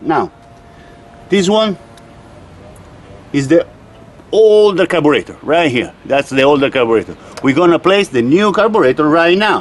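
A man's fairly high voice at a moderate pace, with big pitch swings and long, frequent pauses

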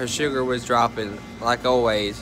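Dry, echo-free sound of a man speaking at a moderate pace, clear music in the background. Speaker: vlogger. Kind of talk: casual vlog chat.

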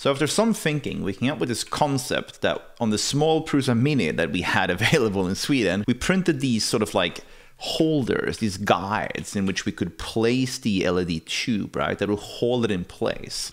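Against a quiet background, a man speaks with lively intonation at a moderate pace. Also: hardly any pauses. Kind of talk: casual vlog chat. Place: home room. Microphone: studio mic.

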